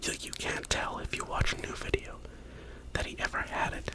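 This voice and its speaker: Whispering at a moderate pace, a man can be heard over noticeable background noise. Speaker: ASMR content creator. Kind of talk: whisper ramble to camera about favorite ASMR artists. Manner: whispered, soft-spoken.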